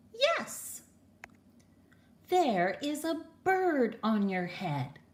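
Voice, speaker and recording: A woman uses a high put-on character voice with very wide pitch swings at a very slow pace. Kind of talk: bedtime story. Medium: read story. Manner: calm, upbeat.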